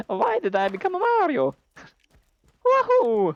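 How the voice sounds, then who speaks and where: At a moderate pace, a man performs a put-on character voice at an extremely high pitch. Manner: exaggerated, cheerful exclamation.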